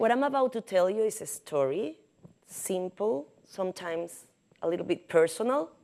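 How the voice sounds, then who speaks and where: With a Caribbean Spanish accent, a woman talks at a moderate pace and medium pitch, her dark, mellow tone carrying lively intonation. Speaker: journalist. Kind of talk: prepared symposium talk. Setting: podium at symposium with audience.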